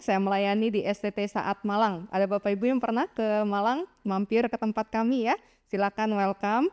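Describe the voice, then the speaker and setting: On a very clean recording with a silent background, a woman speaks at a moderate pace with a fairly high pitch and a warm tone, the sound dry and close with no echo. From Jakarta, Indonesia. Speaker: evangelist and children's ministry teacher. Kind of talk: seminar talk. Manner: warm, interactive with audience.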